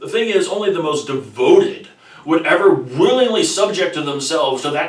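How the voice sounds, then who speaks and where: Moderately paced male speech against noticeable background noise. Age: 30s. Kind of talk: personal explanatory talk to camera. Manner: articulate.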